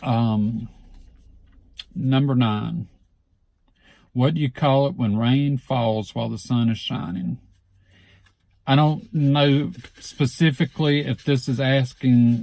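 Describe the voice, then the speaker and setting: At a fairly slow pace, a man talks in a medium pitch with a dark, mellow tone. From Southeast Alabama, USA. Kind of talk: casual talk to camera.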